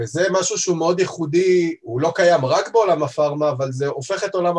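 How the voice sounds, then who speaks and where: With ordinary pitch variation, this man speaks at a moderate pace. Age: 30s. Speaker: head of quality at a pharmaceutical distributor. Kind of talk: interview.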